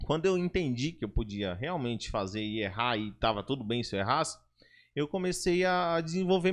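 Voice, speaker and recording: A loud man's voice at a moderate pace, with very wide pitch swings. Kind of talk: casual podcast conversation.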